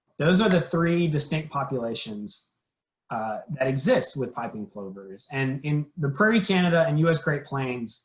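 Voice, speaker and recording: Lively intonation marks this man's fairly high, somewhat breathy voice. He keeps a moderate pace. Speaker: conservation program trainer. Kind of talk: training webinar presentation.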